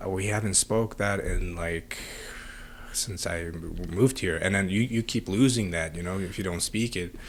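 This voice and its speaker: A man speaks with a Central Asian accent at a moderate pace. His pitch is very deep and low. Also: ordinary pitch variation. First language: Tajik. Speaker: podcast host. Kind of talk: casual interview chat.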